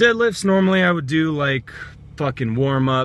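The sound is dry with no echo as a man talks over light background noise. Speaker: vlogger. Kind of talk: casual vlog chat. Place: car. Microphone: phone near.

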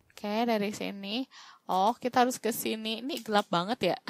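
A woman talks fairly slowly in an animated tone. The sound is dry and close, without echo. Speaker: gaming YouTuber. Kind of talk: gaming let's-play commentary.

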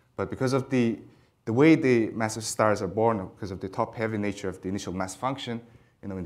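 Delivering his words at a very fast pace, a man uses a fairly low pitch with ordinary pitch variation. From Mongolia. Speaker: astrophysics PhD student. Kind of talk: lecture. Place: hall. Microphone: lapel.

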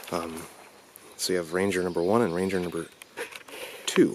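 A man with a very deep, low pitch talks at a moderate pace in a monotone, flat way. The sound is dry with no echo, with light background noise. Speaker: urban explorer vlogger. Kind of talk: casual vlog commentary. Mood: wary, slightly uneasy. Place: forest. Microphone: phone near.

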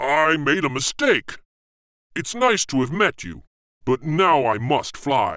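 A man speaks in a put-on character voice, pitched fairly high. His pace is fairly slow, broken by long, frequent pauses. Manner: spluttering, nervous.

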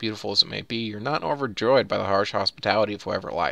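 Ordinary pitch variation in plain reading aloud

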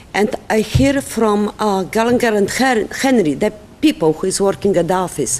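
Noticeable background noise runs under this recording. A woman speaks at a medium pitch with lively intonation. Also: moderate pace. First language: not English. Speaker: resident speaking at public comment. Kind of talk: public comment at village board meeting. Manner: halting.

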